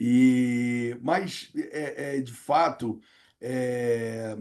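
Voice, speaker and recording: A man with a dark, mellow tone speaks at a medium pitch. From Rio de Janeiro, Brazil. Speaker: professor and negotiation consultant. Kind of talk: interview. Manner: halting, many fillers and repetitions.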